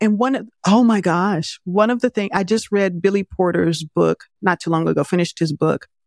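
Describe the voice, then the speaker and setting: A plain, everyday voice from a woman at a moderate pace, ordinary pitch variation, dry, close sound with no echo, and a very clean recording with a silent background. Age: 50s. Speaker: filmmaker. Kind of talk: interview.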